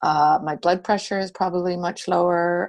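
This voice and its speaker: Against a quiet background, a woman talks at a moderate pace in a normal speaking voice. Her fairly low pitch stays fairly even. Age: 60s. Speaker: borough mayor, former journalist. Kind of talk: roundtable discussion. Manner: casual, with many fillers.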